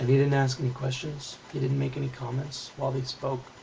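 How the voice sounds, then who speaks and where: A quiet man's voice amid noticeable background noise. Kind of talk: political video response to camera.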